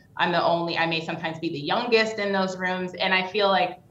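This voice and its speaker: A woman with an American accent speaks at a medium pitch in a plain, everyday voice, her intonation fairly even. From New York. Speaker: business executive. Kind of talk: interview.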